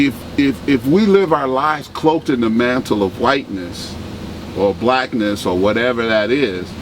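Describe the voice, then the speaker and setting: A man with an American accent speaks at medium pitch and a moderate pace with lively intonation. His loudness stays very even, and noticeable background noise is present. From Chicago. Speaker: nonprofit executive director. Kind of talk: interview. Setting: on camera interview. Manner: animated.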